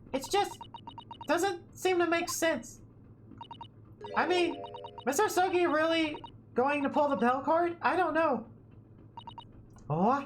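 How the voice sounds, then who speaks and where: A squeaky, high-pitched, put-on character voice speaks at a fairly slow pace with long, frequent pauses, against clear background noise. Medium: game stream. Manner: polite, probing.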